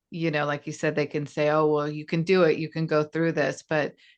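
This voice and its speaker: Against a quiet background, a woman speaks in a very deep, low voice. Her intonation stays fairly even. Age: 40s. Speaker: podcast host. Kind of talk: interview.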